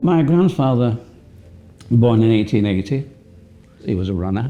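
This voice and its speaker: Over music in the background, a man with a medium-pitched voice speaks at a moderate pace with lively intonation. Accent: Lancashire. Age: 80s+. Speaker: company co-founder. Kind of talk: documentary interview.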